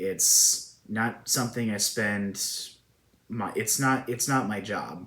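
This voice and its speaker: A man speaks with fairly even intonation and a bright, sharp tone. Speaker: hobbyist model builder and channel host. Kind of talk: informal interview-style monologue. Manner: stuttering, self-correcting; unscripted, jumping around.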